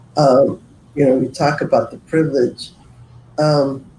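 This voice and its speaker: Somewhat breathy, a man speaks in a dark, mellow tone at a fairly high pitch and a moderate pace. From US West, East Los Angeles. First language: Spanish. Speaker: community organization moderator. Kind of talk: online panel discussion.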